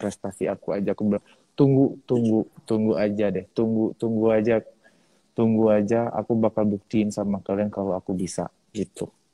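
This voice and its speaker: Moderate-paced male speech, fairly low, with monotone, flat intonation. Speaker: singing competition finalist. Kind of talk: interview. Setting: live video stream.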